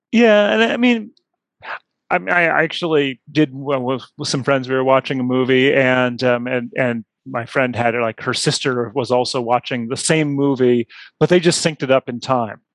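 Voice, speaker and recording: The voice moves at a moderate pace with ordinary pitch variation. Its sound is dry and close, with no echo. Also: man, medium pitch for a man. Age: 50s. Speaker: tech writer. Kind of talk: casual chat. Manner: halting, many fillers.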